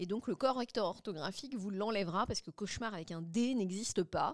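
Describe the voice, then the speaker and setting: Her intonation lively, a woman is speaking. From France, Le Mans. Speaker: linguist and AI consultant. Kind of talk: interview. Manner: fast.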